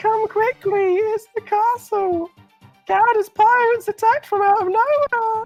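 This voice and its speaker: An extremely high-pitched put-on character voice goes at a moderate pace while faint music plays in the background. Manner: urgent, alarmed.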